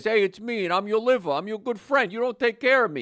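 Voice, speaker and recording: Putting on a character voice in a New Jersey accent, a man talks very fast at a high pitch. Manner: friendly, chummy, mildly reproachful.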